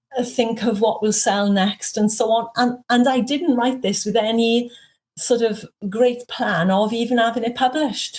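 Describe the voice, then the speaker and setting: She speaks with fairly even intonation, a fairly high pitch and very even loudness. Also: moderate pace. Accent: Welsh. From Wales. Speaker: author. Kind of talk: interview.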